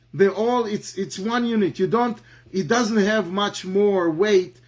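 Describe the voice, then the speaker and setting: The speech moves at a fairly slow pace. It is delivered in an Israeli accent. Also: man. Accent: Hebrew. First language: Hebrew. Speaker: Talmud teacher. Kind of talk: lecture. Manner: halting, many fillers and repetitions.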